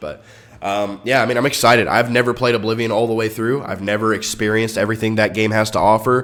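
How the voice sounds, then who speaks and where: A man speaks at a very fast pace. His pitch sits fairly low. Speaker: gaming YouTuber. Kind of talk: casual commentary. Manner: animated; stuttering at times.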